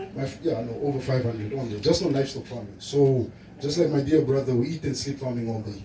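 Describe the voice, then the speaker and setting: A man talks at a fairly quick pace with a medium pitch and a dark, mellow tone that is somewhat breathy. Audible room echo surrounds his voice. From Namibia, Zambezi region. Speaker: livestock farming presenter. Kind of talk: presentation at event. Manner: animated.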